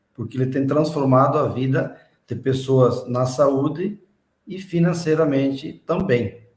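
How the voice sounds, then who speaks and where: A somewhat breathy man talks at a medium pitch with ordinary pitch variation. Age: 60s. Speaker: independent distributor. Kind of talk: interview.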